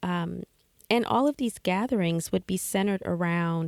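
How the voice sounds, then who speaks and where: A dry, close sound with no echo, with an American accent, on a very clean recording with a silent background. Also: woman. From United States. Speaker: podcast host. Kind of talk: casual podcast monologue. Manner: frequent fillers (um, uh).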